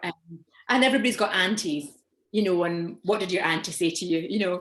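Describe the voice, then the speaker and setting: A woman speaks with a Scottish accent at a medium pitch. Her pitch variation is ordinary and her pace fairly quick. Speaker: stand-up comedian and actor. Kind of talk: interview answer.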